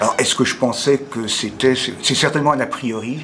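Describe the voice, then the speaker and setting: The intonation of this man's voice is fairly even. Noticeable background noise runs behind him. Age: 70s. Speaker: amateur theatre student. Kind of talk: testimony. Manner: halting.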